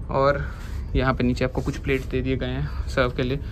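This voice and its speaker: Moderate-paced speech from a man amid noticeable background noise. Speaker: vlogger reviewing a venue. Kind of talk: casual vlog chat. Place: cafe. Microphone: phone near.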